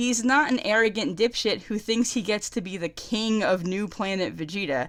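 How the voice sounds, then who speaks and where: Here is a woman with an American accent and a fairly high pitch. She moves at a moderate pace with lively intonation. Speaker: anime fan reviewer. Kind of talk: casual review talk to camera. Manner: excited.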